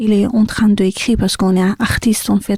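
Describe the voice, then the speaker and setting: Somewhat breathy, with a dark, mellow tone, a woman speaks at a medium pitch and moderate pace in a monotone, flat intonation, recorded dry and close with no echo. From Iran, Sistan-Baluchestan. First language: Sistani (Persian dialect) (speaking French). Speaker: artist and singer. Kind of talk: interview. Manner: halting.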